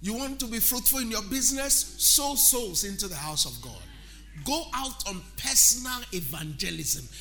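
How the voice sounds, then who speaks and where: An animated man at a moderate pace, with noticeable background noise. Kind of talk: sermon. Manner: animated call-and-response preaching, urging the congregation to say amen; rhythmic, emphatic, building repetition and proclaiming blessings.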